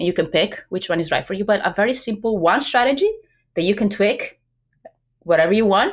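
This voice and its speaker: The voice moves at a fairly quick pace in an Italian accent, with very wide pitch swings. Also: woman. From Italy. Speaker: business coach. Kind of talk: podcast interview.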